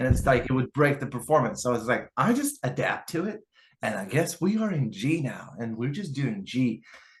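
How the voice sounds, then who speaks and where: Somewhat breathy, a man speaks at medium pitch and a moderate pace, his intonation lively. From Lithuania. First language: Lithuanian. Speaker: guitarist and YouTuber. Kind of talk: podcast interview. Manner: casual, filler-heavy.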